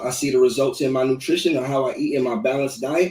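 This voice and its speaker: Fairly quick, fairly high-pitched speech from a man. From US Midwest, Des Moines, Iowa. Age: 30s. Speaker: rapper and sickle cell advocate. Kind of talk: podcast interview.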